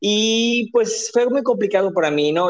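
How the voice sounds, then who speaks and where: A man talks at a fairly slow pace. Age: 30s. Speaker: drag performer and marketer. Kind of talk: casual chat.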